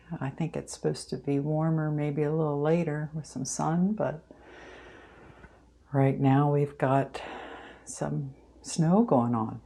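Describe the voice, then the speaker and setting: A soft-spoken woman with a very deep, low pitch and a dark, mellow tone, at a fairly slow pace with long, frequent pauses. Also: ordinary pitch variation. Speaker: plant hobbyist vlogger. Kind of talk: casual vlog tutorial. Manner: hesitant, many ums.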